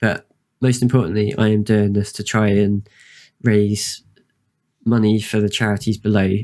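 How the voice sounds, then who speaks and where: Soft-spoken and fairly low-pitched, a man with a British accent speaks with fairly even intonation, the sound dry and close with no echo on a very clean recording with a silent background. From UK. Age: 30s. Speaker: streamer. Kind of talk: casual chat. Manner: halting.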